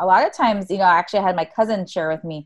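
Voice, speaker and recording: Here a woman speaks with a fairly low pitch and ordinary pitch variation. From Hawaii (Oahu). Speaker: accelerator program founder. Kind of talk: interview.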